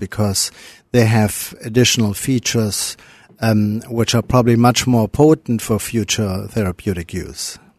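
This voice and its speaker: Recorded dry and close with no echo, a man with a German accent speaks at a medium pitch and a fairly slow pace, his intonation fairly even. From Germany. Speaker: cardiologist. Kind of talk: interview.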